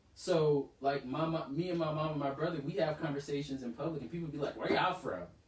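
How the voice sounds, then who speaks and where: The speech comes at a very fast pace with hardly any pauses. Noticeable background noise can be heard. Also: man, fairly high pitch for a man, ordinary pitch variation. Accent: American. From US South, Savannah, Georgia. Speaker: podcast co-host. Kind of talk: casual chat. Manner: animated.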